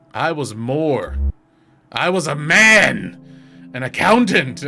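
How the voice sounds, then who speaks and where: Over faint background music, a man uses a put-on character voice at a very slow pace. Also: fairly high pitch for a man. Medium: solo performance. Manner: grave, hollow.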